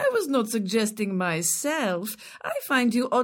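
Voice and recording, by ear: The text is read aloud in a natural voice, and the intonation is lively.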